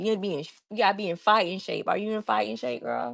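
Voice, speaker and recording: A woman with a Southern US accent talks very fast against a quiet background. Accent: Southern US, country. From US South, Savannah, Georgia. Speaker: crafting livestreamer. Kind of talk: casual livestream chat while crafting. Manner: animated.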